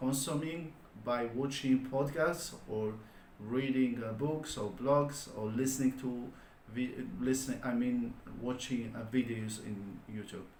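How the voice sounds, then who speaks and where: The speech moves at a very slow pace, with audible room echo and noticeable background noise. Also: man. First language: not English. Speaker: online business vlogger. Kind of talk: solo vlog monologue. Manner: halting, many fillers.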